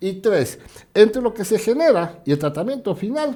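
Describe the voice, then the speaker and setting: A man speaks in a high pitch with a dark, mellow tone. His pace is fairly slow. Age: 60s. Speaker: guest commentator on local social issues. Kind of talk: TV talk show interview. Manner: animated.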